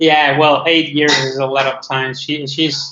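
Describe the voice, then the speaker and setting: A man's fairly high voice, fairly even in intonation, with an Argentine accent. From Argentina. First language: Spanish. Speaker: testing engineer. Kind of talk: casual chat.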